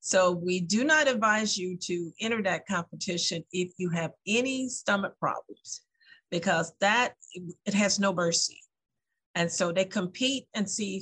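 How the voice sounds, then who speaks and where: The speech goes at a fairly slow pace with ordinary pitch variation. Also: woman. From US South. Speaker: festival organizer. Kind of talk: interview. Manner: hesitant with fillers.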